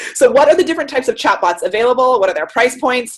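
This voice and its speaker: Very fast pace and very wide pitch swings. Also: woman. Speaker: marketing consultant, webinar presenter. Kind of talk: webinar presentation. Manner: animated.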